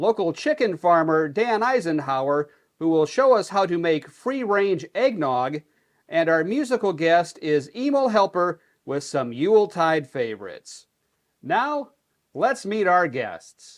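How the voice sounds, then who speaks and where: In a put-on, robotic character voice pitched high, a man speaks at a fairly slow pace against a quiet background. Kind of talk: parody local TV hosting. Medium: comedy sketch. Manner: wooden, formal, mechanical.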